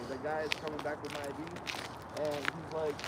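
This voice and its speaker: A man with an American accent talks at a moderate pace, with audible room echo and noticeable background noise around him. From US Midwest (Minnesota), from Ukraine as a toddler. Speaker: driver stopped by federal agents. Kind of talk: casual chat, telling his own story. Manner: halting, repeats words.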